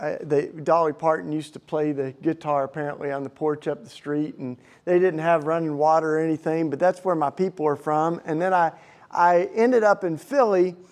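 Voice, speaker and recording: In a Southern accent, a man with a fairly high pitch talks at a fairly quick pace with ordinary pitch variation against a quiet background. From US South, Tennessee. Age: 40s. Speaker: activist and speaker. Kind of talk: talk to a live audience. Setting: stage with audience. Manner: casual, halting with many restarts.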